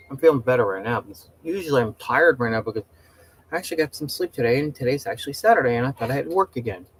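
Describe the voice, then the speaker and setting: A man talks very fast at a medium pitch. The sound is dry and close with no echo, though noticeable background noise is present. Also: big swings in loudness. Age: 50s. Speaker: livestreamer. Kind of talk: casual chat. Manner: animated.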